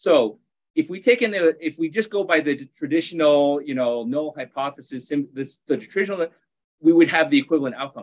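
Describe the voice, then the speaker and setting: A man with fairly high pitch and ordinary pitch variation has a normal speaking voice. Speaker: surgeon and researcher. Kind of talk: podcast interview.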